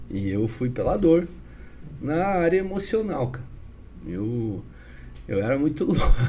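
Somewhat breathy and set in audible room echo, a man speaks at a fairly slow pace with a fairly high pitch, very wide pitch swings, and long, frequent pauses. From Paraná, Brazil (Curitiba / northern Paraná). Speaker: businessman and evangelist. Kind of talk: casual interview chat with testimony.

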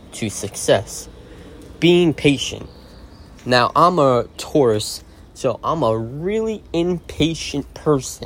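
A man with fairly high pitch speaks at a very slow pace and with lively intonation. Noticeable background noise runs under the recording. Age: 30s. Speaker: podcast host. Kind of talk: motivational monologue.

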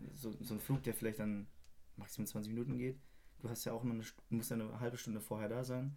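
Talking very fast yet with long, frequent pauses, a man uses a dark, mellow tone at medium pitch with fairly even intonation. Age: 20s. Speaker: drummer and music producer. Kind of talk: casual chat.

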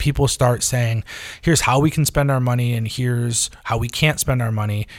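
Somewhat breathy, a man talks at a medium pitch with fairly even intonation. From far northern New York, Adirondacks. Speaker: food journalist and editor. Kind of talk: casual interview chat.

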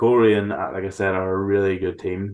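This man has a very deep, low voice and a Northern Irish accent. He speaks at a moderate pace. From Northern Ireland, County Antrim. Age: 20s. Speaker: football commentator and writer. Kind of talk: casual chat.

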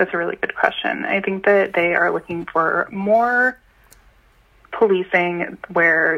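A woman with a plain, everyday voice talks at a fairly slow pace in a fairly low pitch, with an American accent. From Boston (Jamaica Plain). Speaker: caller, community organizer. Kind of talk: call-in conversation. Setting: phone call.

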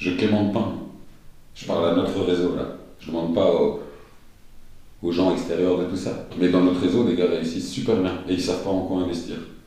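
Amid noticeable background noise, a man with a very deep, low pitch talks at a fairly quick pace broken by long, frequent pauses. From Brussels, Belgium. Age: 30s. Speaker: TV producer and sneaker customizer. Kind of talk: interview. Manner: animated.

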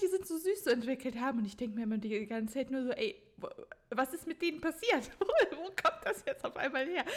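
The woman moves at a fairly quick pace, her pitch swinging very widely amid noticeable background noise. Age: 20s. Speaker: podcast host and author. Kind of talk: casual chat.

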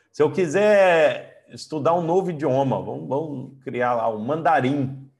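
A man with a normal speaking voice talks at a moderate pace, his fairly high pitch moving with lively intonation. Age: 40s. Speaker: coach and trainer. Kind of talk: online lecture.

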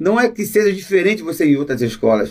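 With a high pitch and lively intonation, a man talks at a fairly quick pace. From Rio de Janeiro, Alto da Boa Vista. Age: 60s. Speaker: university lab worker and samba composer. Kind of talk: casual interview chat. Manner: halting.

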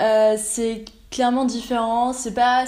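A woman's fairly high voice, very slow and monotone, with flat intonation and audible room echo. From Austria. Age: 20s. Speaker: exchange student. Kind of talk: casual interview.

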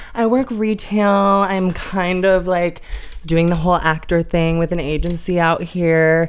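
Using a plain, everyday voice with an American accent, the speaker goes at a fairly slow pace with very even loudness and fairly even intonation. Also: woman, fairly low pitch for a woman. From US Midwest, Chicago suburbs. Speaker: actress and model. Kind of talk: casual chat. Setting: living room.

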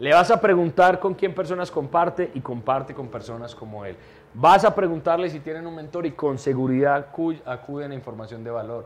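A man speaks fairly quickly with lively intonation at a fairly high pitch. His is an unremarkable speaking voice. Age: 30s. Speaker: entrepreneur and mentor. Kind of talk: interview.

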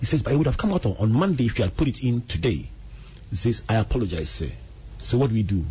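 Speaking very fast with lively intonation, a man uses a medium pitch with vocal fry. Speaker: radio host and reverend. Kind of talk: radio talk show. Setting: radio studio.

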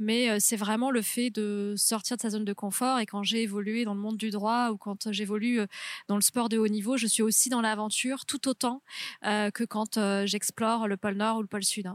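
The sound is dry and close, with no echo. A woman speaks at a moderate pace in a fairly high, monotone, flat voice. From southwest France, near Toulouse (Haute-Garonne). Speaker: lawyer, polar explorer and ultra-trail runner. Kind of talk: interview. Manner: halting, many hesitations and repeated words.

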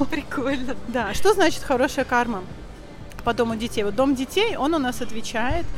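A woman with a high voice and lively intonation talks as noticeable noise sounds behind her. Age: 30s. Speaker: vedic astrologer. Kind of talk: casual chat.

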